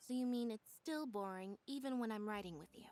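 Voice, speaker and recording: Here a woman puts on a character voice at a fairly high pitch. She moves at a fairly quick pace. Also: big swings in loudness. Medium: video game. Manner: terse.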